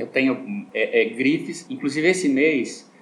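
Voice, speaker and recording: A man talks as noticeable background noise plays underneath. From southern Brazil (Rio Grande do Sul). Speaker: optician shop owner, businessman. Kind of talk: radio interview.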